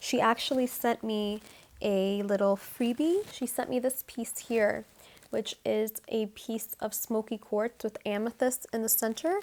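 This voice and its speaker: A woman speaks with an American accent at a fairly slow pace. Her pitch is fairly high. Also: fairly even intonation. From New Mexico, USA. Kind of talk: soft-spoken ASMR crystal collection show-and-tell to camera. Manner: soft-spoken, calming, friendly.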